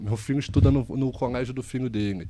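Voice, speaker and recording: Here is a man with a Carioca accent and a medium-pitched voice. He talks at a fairly quick pace in a dark, mellow tone. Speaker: investment firm executive. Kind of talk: podcast interview.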